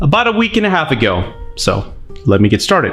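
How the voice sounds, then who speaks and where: A man with an American accent speaks at a fairly quick pace in an enthusiastic tone, his pitch swinging very widely while music plays in the background. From Texas. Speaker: movie critic. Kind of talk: casual movie review to camera.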